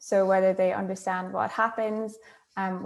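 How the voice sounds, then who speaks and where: A woman speaks with an Irish accent at a medium pitch. Her pace is moderate. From Ireland. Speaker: marine scientist. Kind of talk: panel discussion.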